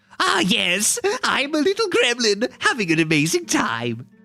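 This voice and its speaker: The speaker uses a put-on character voice with a fairly high pitch at a moderate pace. Faint music plays in the background. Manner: gleeful, silly.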